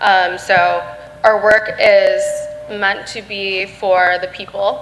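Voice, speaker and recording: Against music in the background, a woman with an American accent speaks at a medium pitch with fairly even intonation. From Michigan. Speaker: security researcher. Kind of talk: panel discussion.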